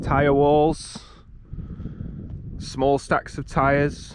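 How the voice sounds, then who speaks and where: The sound is dry with no echo, over light background noise. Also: man. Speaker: amateur racer vlogger. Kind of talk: casual vlog chat. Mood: light-hearted, joking. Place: open country. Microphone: phone near.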